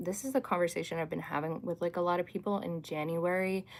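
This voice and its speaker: A woman with an American accent speaks at a fairly low pitch with ordinary pitch variation, on a very clean recording with a silent background. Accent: sounds American. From Canada. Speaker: livestreamer, astrology content creator. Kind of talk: casual livestream chat reading comments. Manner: chatty, filler-heavy with frequent 'like'.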